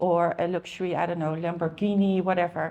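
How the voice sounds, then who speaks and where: A woman speaks at a medium pitch with a Dutch accent. Her intonation is monotone and flat, over a quiet background. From Netherlands, Amsterdam. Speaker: car rental industry expert. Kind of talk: conference talk. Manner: hesitant, many fillers.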